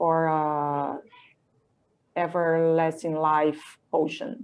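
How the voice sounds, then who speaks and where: A woman with a Portuguese accent at a very slow pace. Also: very clean recording, silent background. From Brazil, Campinas, Sao Paulo state. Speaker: illustrator and comic artist. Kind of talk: interview, describing own artwork. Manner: halting, searching for words.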